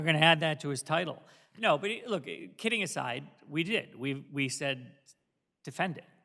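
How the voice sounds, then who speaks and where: Long, frequent pauses break up a man's moderate-paced speech, delivered with lively intonation in a fairly high pitch and a bright, sharp tone. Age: 50s. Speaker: board chairman. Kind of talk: public meeting chairing. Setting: township board meeting.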